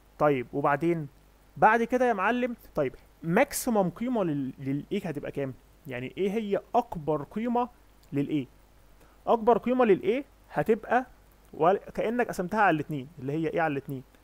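A man with a high pitch talks at a moderate pace with very wide pitch swings. He leaves long, frequent pauses. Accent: Egyptian. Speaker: competitive programming instructor. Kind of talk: lecture.

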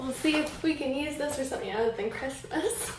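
A woman at a fairly quick pace, with noticeable background noise and audible room echo. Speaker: craft YouTuber. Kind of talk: casual vlog. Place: home room. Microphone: camera far.

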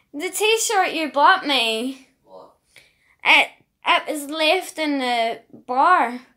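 A woman projects a raised, high-pitched voice at a very slow pace, with long, frequent pauses. Her tone is bright and sharp, her intonation lively, her loudness swinging widely, over a quiet background. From Northern Ireland. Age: 30s. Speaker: vlogger; holiday vlogger. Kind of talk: casual travel vlog; casual vlog chat. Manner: stumbling over words.

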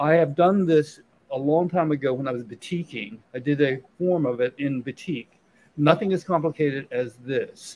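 Speaking in an unremarkable speaking voice with an American accent, a man talks at a fairly high pitch and moderate pace with ordinary pitch variation. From Virginia. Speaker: painter. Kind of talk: casual interview. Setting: live show at a restaurant.

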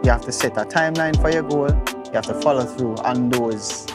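Loud music plays in the background of a dry sound with no echo. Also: man. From Jamaica. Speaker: visual artist, muralist. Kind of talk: interview answer. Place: street. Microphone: lapel.

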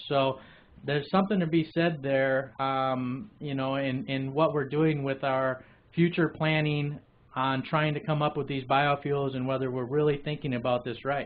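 A man's fairly even intonation comes at a moderate pace. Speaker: webcast show host. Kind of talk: news commentary. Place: studio.

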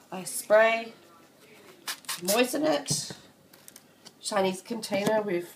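Through noticeable background noise, a woman speaks at a fairly high pitch with ordinary pitch variation. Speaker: insect keeper. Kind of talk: casual tutorial talk to camera.

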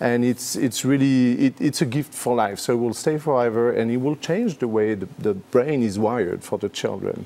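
In a French accent, a man speaks at a fairly quick pace with a medium pitch and ordinary pitch variation. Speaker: school representative, educator. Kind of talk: TV interview. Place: studio.

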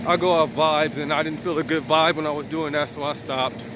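At a moderate pace, a man speaks in a dry sound with no echo, with noticeable background noise. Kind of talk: casual vlog chat. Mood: relaxed, easygoing. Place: street. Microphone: phone near.

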